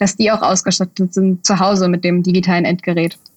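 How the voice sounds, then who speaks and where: Her voice is somewhat breathy. The woman talks at a moderate pace. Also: dry, close sound with no echo. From Bad Kreuznach, Germany. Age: 20s. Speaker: student and deputy candidate. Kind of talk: interview.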